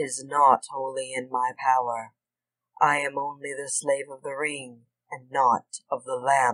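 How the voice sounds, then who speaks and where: Someone uses a put-on character voice at a low-to-middle pitch, moving at a fairly slow pace. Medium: read story. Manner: formal, archaic speech.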